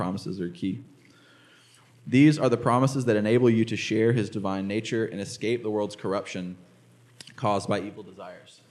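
Speaking at a fairly quick pace with long, frequent pauses, a man with a fairly low pitch and ordinary pitch variation is heard in audible room echo. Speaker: preacher. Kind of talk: sermon. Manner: fast.

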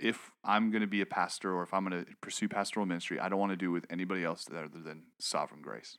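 Very deep and low in pitch yet bright and sharp in tone, a man with an American accent speaks with ordinary pitch variation on a very clean recording with a silent background. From US Midwest, Sioux Falls, South Dakota. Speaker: pastoral resident. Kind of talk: casual conversation, personal testimony.

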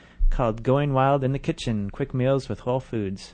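Over a quiet background, a man speaks in a medium pitch. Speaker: radio host. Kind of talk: casual radio chat. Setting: studio.

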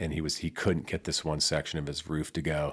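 A man speaks with a very deep, low pitch and vocal fry at a fairly quick pace. The recording is very clean, with a silent background. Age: 50s. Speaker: podcast co-host. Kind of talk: casual chat. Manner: animated.

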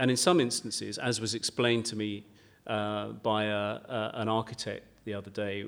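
With a southern English accent, a man talks at a moderate pace, his pitch fairly low and his intonation fairly even. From Kent, southern England. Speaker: garden designer and broadcaster. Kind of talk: live podcast interview. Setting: stage with audience. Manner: halting.

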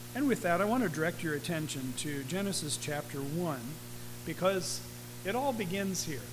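With a moderate pace, a man speaks at a fairly high pitch. His intonation is lively, and audible room echo surrounds him. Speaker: pastor. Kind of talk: sermon.

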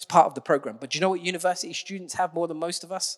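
The man's high-pitched voice races at a very fast pace, the recording dry and close with no echo. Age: 40s. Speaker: preacher. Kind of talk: sermon.

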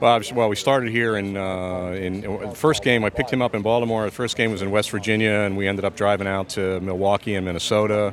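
In an American accent, a man with an ordinary speaking voice talks at a fairly quick pace with fairly even intonation. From Pennsylvania. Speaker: baseball fan, father. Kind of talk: casual interview. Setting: at the ballpark.

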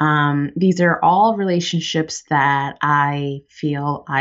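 A woman speaks very slowly with a very deep, low pitch. Her pitch variation is ordinary. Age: 20s. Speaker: podcast co-host. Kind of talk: casual chat. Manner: mellow.

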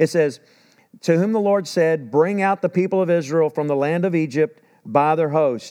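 With a Texan accent, a man speaks at a moderate pace in a dark, mellow tone, his pitch fairly high with ordinary variation, in a dry, close sound with no echo. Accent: Texan Southern US. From Texas. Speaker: pastor. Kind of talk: sermon. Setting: church. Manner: halting, many fillers and restarts.

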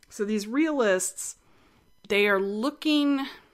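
At a very slow pace, a woman speaks with a slight West Texas accent. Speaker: art podcast host. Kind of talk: educational talk, casual lecture. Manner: casual, chatty, humorous.

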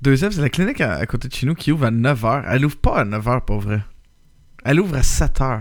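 Here a man with a Quebec accent speaks fairly quickly at a medium pitch, with lively intonation. The recording is very clean, with a silent background. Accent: Québécois French. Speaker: podcast host. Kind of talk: casual chat.

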